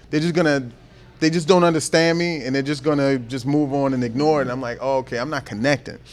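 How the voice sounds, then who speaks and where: With a slight Baltimore accent, a man talks at a very fast pace, his pitch fairly high and his intonation fairly even. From Baltimore, US East Coast. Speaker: comedian. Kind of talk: casual chat.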